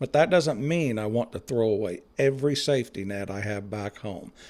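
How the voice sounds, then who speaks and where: With an American accent, a man with a dark, mellow tone talks at a moderate pace with ordinary pitch variation. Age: 60s. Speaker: retiree vlogger. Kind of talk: casual vlog talk to camera. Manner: conversational with hesitations and repeats.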